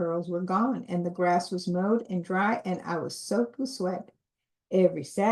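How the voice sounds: Against a quiet background, a speaker reads in a natural reading voice.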